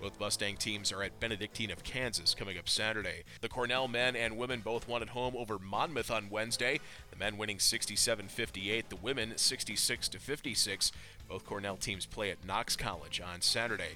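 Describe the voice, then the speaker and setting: This man has a fairly low voice with vocal fry and a bright, sharp tone. He speaks at a fairly quick pace. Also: fairly even intonation. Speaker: sports news reader. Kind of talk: news reading.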